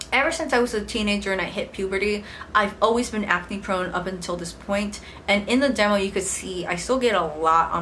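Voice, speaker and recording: An American accent at a moderate pace with ordinary pitch variation, plus audible room echo and noticeable background noise. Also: woman. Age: 20s. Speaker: beauty vlogger. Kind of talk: product review. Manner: casual, with fillers.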